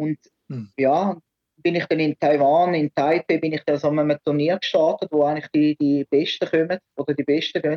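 This man has a fairly high pitch. His intonation stays flat and monotone. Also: moderate pace. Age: 50s. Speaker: martial arts coach. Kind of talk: casual interview. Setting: phone call. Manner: halting, many repetitions. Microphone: choppy line.

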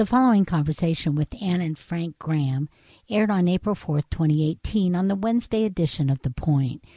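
Her dark, mellow tone sits at a fairly low pitch as this somewhat breathy woman talks at a fairly quick pace with lively intonation, on a very clean recording with a silent background. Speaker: radio host. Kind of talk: radio interview. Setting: radio studio.

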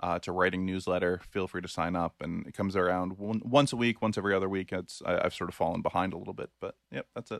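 A man talks at a very fast pace. The recording is very clean, with a silent background and a dry, close sound with no echo. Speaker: podcast host. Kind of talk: casual chat, podcast.

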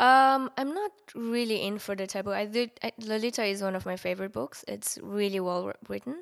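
The speaker is a woman with a Mongolian accent and a medium pitch who leaves hardly any pauses. The recording is very clean, with a silent background. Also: ordinary pitch variation. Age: 30s. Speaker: art nude model. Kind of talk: casual interview chat.

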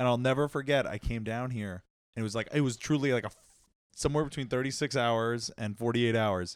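The speaker has a Long Island accent and fairly even intonation. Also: man, medium pitch for a man, fairly quick pace, very clean recording, silent background. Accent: New York (Long Island). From Long Island, New York. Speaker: podcast guest, media professional. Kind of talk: casual chat.

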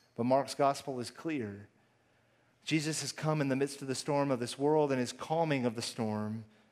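Speaking with an American accent at a moderate pace, a man has an unremarkable speaking voice, fairly high in pitch and fairly even in intonation. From Texas, Houston. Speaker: pastor. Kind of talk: sermon.

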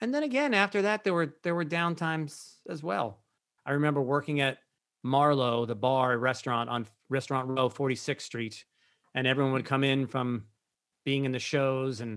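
A man talks at a moderate pace and medium pitch, in an ordinary speaking voice. His pitch varies in an ordinary way, and the recording is very clean with a silent background. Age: 50s. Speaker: Broadway performer and breathwork teacher. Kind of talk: interview.

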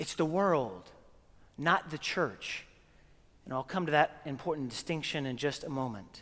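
A man with an American accent speaks at a moderate pace and a fairly high pitch for a man, with lively intonation and long, frequent pauses. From Oklahoma, US. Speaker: priest. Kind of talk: sermon. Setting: church with congregation.

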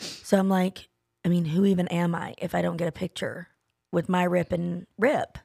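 A woman with a Southern US accent has a fairly low pitch and a dark, mellow tone. The recording is very clean and silent in the background, with a dry, close sound and no echo. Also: moderate pace. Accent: US South. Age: 40s. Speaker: podcast co-host. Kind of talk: casual chat. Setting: studio. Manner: animated.

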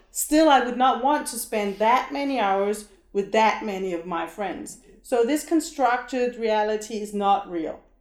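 Speaking fairly slowly, a woman uses a Danish accent. Her fairly high voice has lively intonation. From Denmark. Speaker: long-term traveling parent. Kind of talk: casual chat.

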